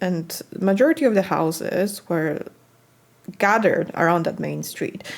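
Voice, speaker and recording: A woman speaks at a fairly slow pace. She has a Polish accent. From Poland, countryside. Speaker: cross-stitch designer and video blogger. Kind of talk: casual monologue to camera.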